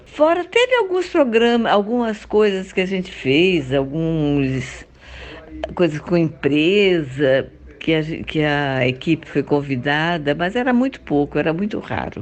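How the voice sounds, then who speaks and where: Lively intonation from a woman with a fairly low pitch, at a fairly slow pace, with noticeable background noise. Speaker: actress and voice actress. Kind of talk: interview answer.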